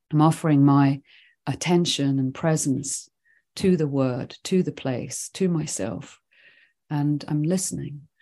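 A woman with a Swedish accent, very deep and low in pitch, dark and mellow in tone, with ordinary pitch variation and a fairly slow pace against a quiet background. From Sweden, then England and Scotland from age eleven. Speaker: writing teacher and nature awareness teacher. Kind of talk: podcast interview.

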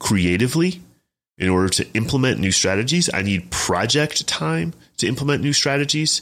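A man with a normal speaking voice at a fairly quick pace, with lively intonation. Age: 30s. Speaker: fitness podcast host. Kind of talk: solo podcast monologue. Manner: casual, filler-heavy.

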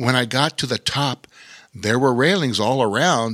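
With fairly even intonation, this is a natural reading voice.

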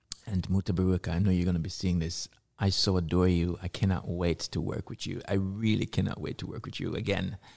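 With a Jamaican accent, a man speaks in a very deep, low pitch at a fairly quick pace, hardly pausing and keeping his intonation fairly even. The sound is dry and close with no echo, and the recording is very clean with a silent background. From Jamaica, Kingston. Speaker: multidisciplinary artist and activist. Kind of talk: interview.

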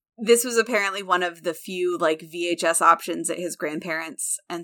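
Speaking at a fairly quick pace with an American accent, a woman has a fairly low pitch with ordinary variation and a bright, sharp tone. The recording is very clean, with a silent background. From US Midwest, central Illinois. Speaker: podcast co-host and theater teacher. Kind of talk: casual chat.

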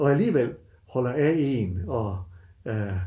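Audible room echo surrounds a man whose somewhat breathy voice has a dark, mellow tone and lively intonation. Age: 60s. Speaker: university lecturer. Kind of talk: casual interview.

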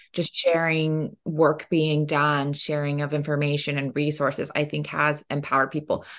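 A woman with an American accent speaks in a very deep, low pitch and a monotone, flat intonation. She keeps a moderate pace with hardly any pauses against a quiet background. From northeastern Oklahoma (Miami). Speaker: novelist. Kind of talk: interview. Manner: frequent fillers (um).

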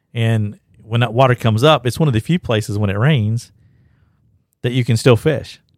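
With an Appalachian accent and ordinary pitch variation, a man speaks with long, frequent pauses on a very clean, dry, close recording with no echo and a silent background. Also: medium pitch for a man, moderate pace. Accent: Southern US (Appalachian). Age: 50s. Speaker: podcast host, fly shop staff. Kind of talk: casual chat. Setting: fly shop.

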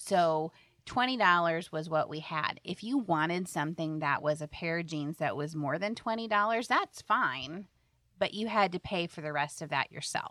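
With an American accent, a woman in a normal speaking voice talks at a moderate pace, her fairly low pitch carried by lively intonation. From Iowa. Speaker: financial advisor and radio host. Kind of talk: casual chat.

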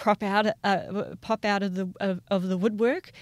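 A woman speaks at a fairly slow pace with a medium pitch and fairly even intonation, on a very clean recording with a silent background. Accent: New Zealand. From New Zealand, Taranaki region. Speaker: lawyer. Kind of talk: interview. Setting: on the sidelines of a conference. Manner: halting, many fillers.

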